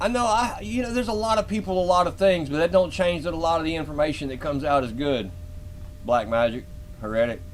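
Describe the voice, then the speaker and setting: In a Southern US accent, a man speaks at a fairly quick pace with very wide pitch swings. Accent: southern twang. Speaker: live-stream host. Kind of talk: live stream commentary, reading a paper. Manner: casual, halting.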